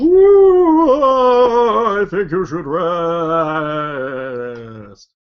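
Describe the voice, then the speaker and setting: Middle pitch in a put-on character voice. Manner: spooky, wailing, annoying.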